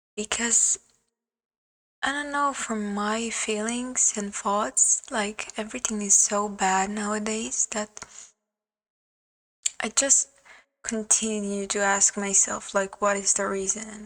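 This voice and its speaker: A woman with a non-native accent at a very slow pace, fairly even in intonation, with long, frequent pauses. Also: fairly high pitch for a woman. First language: not English. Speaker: vlogger. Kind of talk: personal vlog monologue. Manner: hesitant, many fillers.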